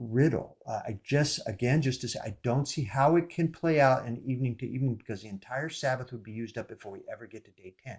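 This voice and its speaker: Quick-paced and somewhat breathy, a man talks at medium pitch with ordinary pitch variation. The recording is very clean, with a silent background. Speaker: bible teacher. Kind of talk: bible study talk.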